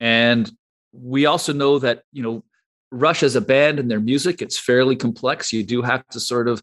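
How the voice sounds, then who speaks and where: A man with a Canadian accent has an unremarkable speaking voice at a medium pitch. He talks at a moderate pace with ordinary pitch variation against a quiet background. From Canada, Toronto. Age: 50s. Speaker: brewery co-founder. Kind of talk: interview.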